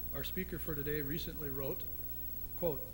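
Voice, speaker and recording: A man speaks over noticeable background noise. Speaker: club moderator. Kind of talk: formal introduction. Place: hall. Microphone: podium.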